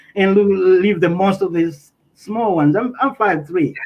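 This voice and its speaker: A man in a Tanzanian accent speaks at a moderate pace with a high pitch and ordinary pitch variation. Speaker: interviewee. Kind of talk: interview testimony. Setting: livestream. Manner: halting, self-correcting.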